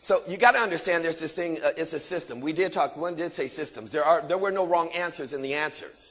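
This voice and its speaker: A man speaks at a very fast pace with hardly any pauses and a high pitch. His tone is animated, with ordinary pitch variation. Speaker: motivational speaker. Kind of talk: motivational seminar talk.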